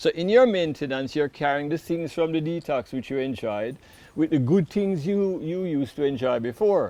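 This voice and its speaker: A man with a dark, mellow tone speaks at a moderate pace. His intonation is lively, and the background is quiet. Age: 60s. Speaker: health and detox educator. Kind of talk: interview answers. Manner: conversational, hesitant fillers.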